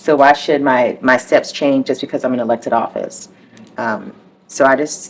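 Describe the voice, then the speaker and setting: A woman with an American accent speaks at a moderate pace with ordinary pitch variation. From military childhood, partly Southern California and overseas. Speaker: mayor. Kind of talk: interview conversation.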